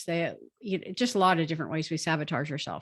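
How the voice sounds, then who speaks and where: Against a quiet background, a woman talks at a fairly quick pace in an unremarkable speaking voice with ordinary pitch variation. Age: 60s. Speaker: doctor. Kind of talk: interview.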